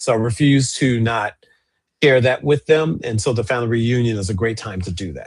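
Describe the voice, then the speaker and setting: Somewhat breathy, a man speaks at a fairly quick pace and medium pitch with ordinary pitch variation. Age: 60s. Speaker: archivist and co-host. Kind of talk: casual chat.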